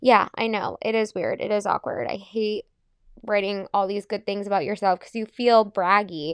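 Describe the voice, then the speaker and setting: Delivered at a moderate pace with fairly even intonation, a plain, everyday voice comes through with a dry, close sound, no echo and a quiet background. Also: woman, medium pitch for a woman. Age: 20s. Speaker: podcast host and fitness class instructor. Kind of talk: casual solo chat.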